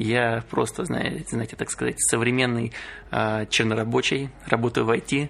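Against noticeable background noise, a man of medium pitch talks at a fairly slow pace with fairly even intonation. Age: 20s. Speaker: podcast co-host, IT worker. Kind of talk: casual chat.

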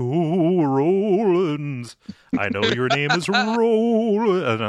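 The speaker uses a put-on character voice that sounds shaky and moves at a very slow pace. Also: man, high pitch for a man. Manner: understated, ghostly.

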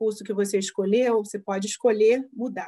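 Dark, mellow speech from a woman at medium pitch, moderately paced. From Brazil, Rio de Janeiro. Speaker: psychologist. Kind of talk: interview.

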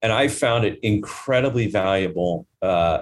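A man with an American accent talks at a fairly low pitch with ordinary pitch variation, in a plain, everyday voice. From US Midwest (Nebraska). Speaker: corporate finance executive. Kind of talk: interview. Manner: frequent fillers and restarts.

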